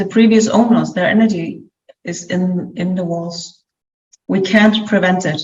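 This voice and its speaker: Over audible room echo, a woman with a non-native accent speaks at a fairly slow pace, somewhat breathy, with fairly even intonation. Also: medium pitch for a woman. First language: not English. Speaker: clairvoyant business coach. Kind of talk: interview with spiritual reading.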